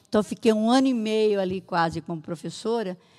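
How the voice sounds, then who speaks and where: A woman's plain, everyday voice at a moderate pace, with ordinary pitch variation, on a very clean recording with a silent background. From Brazil, São Paulo state (Santa Adélia). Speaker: municipal social assistance secretary. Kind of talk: interview.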